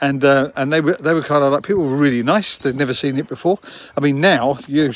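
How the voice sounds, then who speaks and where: Someone with a London accent talks at a very fast pace over noticeable background noise. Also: man. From London, England. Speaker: vlogger. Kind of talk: casual storytelling. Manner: halting, many fillers.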